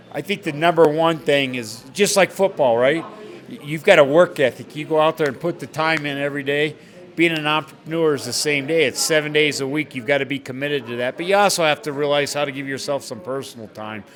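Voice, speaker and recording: A man speaks at a very fast pace with a fairly high pitch and ordinary pitch variation over noticeable background noise. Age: 60s. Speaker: bar owner and businessman. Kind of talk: interview.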